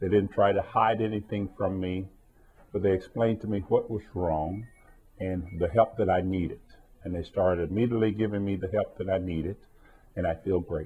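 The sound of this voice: Low-pitched with a slightly husky edge, a man speaks at a moderate pace with fairly even intonation.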